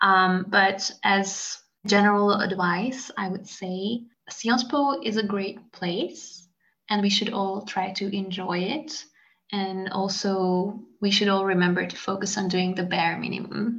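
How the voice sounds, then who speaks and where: A woman speaks at medium pitch and a fairly slow pace. Her pitch varies in an ordinary way, and there is audible room echo. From Hungary. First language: Hungarian. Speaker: graduate student. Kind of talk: casual interview.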